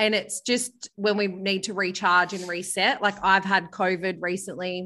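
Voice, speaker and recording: In an Australian accent, a woman speaks at medium pitch with a bright, sharp tone. Her intonation is monotone and flat over a quiet background. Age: 30s. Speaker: author and former radio host. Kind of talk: casual interview chat. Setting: remote call from holiday villa.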